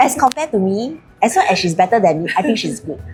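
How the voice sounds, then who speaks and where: A woman talks at a fairly quick pace with a Singaporean accent. Her pitch swings very widely over noticeable background noise. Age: 60s. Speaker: realtor podcast co-host. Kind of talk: casual chat.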